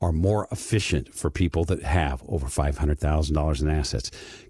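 Fairly quick and somewhat breathy, the man talks. His pitch varies in an ordinary way. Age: 60s. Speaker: financial advisor, radio show host. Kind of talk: paid-programming radio call-to-action pitch for a financial planning firm. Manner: eager salesman urging listeners to phone in now; conversational with frequent false starts and repetitions.

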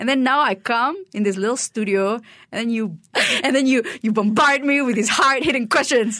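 The tone is bright and sharp. The speaker talks with a Malaysian accent. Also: woman, high pitch for a woman, ordinary pitch variation, moderate pace. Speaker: stand-up comedian. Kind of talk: casual interview. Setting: studio.

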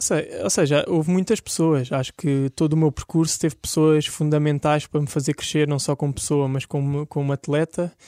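A man's dark, mellow voice, fairly high in pitch with fairly even intonation at a moderate pace, dry and close with no echo on a very clean recording with a silent background. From Portugal, Algarve (Portimão). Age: 20s. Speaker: olympic swimmer. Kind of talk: interview.

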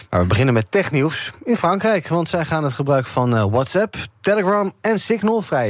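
A man talks at a fairly quick pace in a high voice with very wide pitch swings. Noticeable background noise sits behind him. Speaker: radio host. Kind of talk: casual chat.

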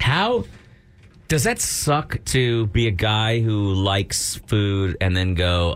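A man speaks in a normal speaking voice, fairly low in pitch with ordinary pitch variation. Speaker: radio show co-host. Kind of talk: casual morning radio banter. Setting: studio.

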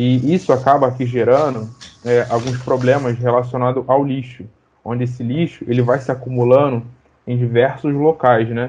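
A man talks at a moderate pace with a medium pitch and monotone, flat intonation. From Maré, Rio de Janeiro. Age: 20s. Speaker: computer science student and community activist. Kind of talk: panel discussion. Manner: halting.

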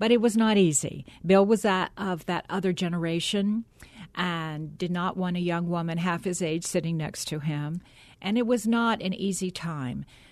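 Against a quiet background, a woman with an ordinary speaking voice talks at a moderate pace in a fairly low pitch with ordinary pitch variation. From US South, Atlanta area, Georgia. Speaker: former TV broadcaster. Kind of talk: interview.

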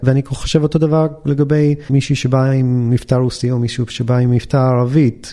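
A man speaks at a moderate pace with hardly any pauses, in a dark, mellow tone at medium pitch. His loudness is very even and his intonation fairly even. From United States. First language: English (speaking Hebrew). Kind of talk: interview.

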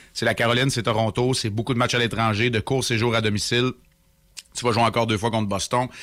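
Speaking at a very fast pace, a man with medium pitch keeps a monotone, flat intonation and very even loudness. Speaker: hockey analyst. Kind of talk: sports commentary. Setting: remote line. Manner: fluent.

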